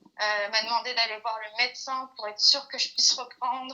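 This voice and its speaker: Speaking at a moderate pace, a woman uses a fairly high pitch with monotone, flat intonation. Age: 20s. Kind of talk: interview answer. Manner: hesitant, many filler sounds.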